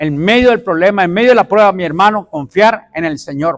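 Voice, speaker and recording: A man's high-pitched voice with lively intonation. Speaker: pastor. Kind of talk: sermon. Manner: slow; call-and-response questioning.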